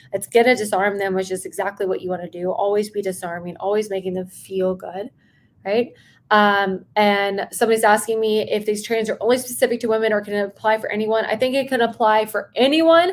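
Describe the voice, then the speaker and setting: This woman's fairly high voice moves at a fairly quick pace with ordinary pitch variation, recorded very cleanly against a silent background. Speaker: sales coach. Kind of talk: live stream training. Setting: live stream. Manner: fast; animated.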